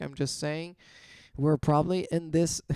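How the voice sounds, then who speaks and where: A man speaks at a fairly slow pace in a fairly high voice with a dark, mellow tone, recorded very cleanly with a silent background and a dry, close sound free of echo. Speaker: crypto trading analyst. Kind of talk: chart analysis commentary. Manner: animated.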